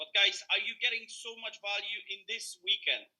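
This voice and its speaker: A man with a Polish accent speaks at a fairly slow pace. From Poland. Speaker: motivational speaker. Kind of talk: motivational talk. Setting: video call.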